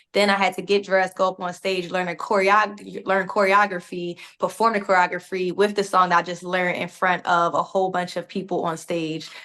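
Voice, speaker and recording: A woman's medium-pitched voice in a Philadelphia accent, fairly quick with hardly any pauses and monotone, flat intonation. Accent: Philadelphia, northern US. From Philadelphia, US Northeast. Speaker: actor. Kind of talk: press interview.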